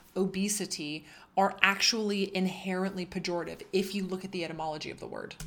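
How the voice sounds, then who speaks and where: Here a woman with an unremarkable speaking voice talks at medium pitch and a moderate pace, keeping her intonation fairly even. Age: 30s. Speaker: book club host, academic. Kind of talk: solo podcast commentary. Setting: indoors, recording in France.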